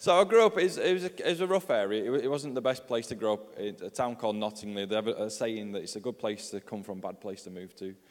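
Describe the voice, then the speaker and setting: Talking very fast with hardly any pauses, a man with a Yorkshire accent uses a medium pitch, lively intonation and big swings in loudness. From northern England, Yorkshire. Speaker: pastor and author. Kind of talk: testimony.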